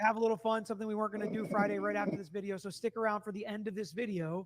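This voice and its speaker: A loud man at a high pitch and very fast pace, with fairly even intonation over noticeable background noise. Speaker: true crime commentator. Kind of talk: livestream commentary on trial clips. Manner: casual, conversational.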